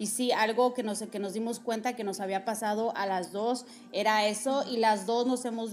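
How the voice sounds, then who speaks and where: An unremarkable speaking voice from a woman, fairly high in pitch, with fairly even intonation at a moderate pace. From Mexico. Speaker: podcast host. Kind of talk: casual chat. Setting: recorded at guest's home, also live on TikTok.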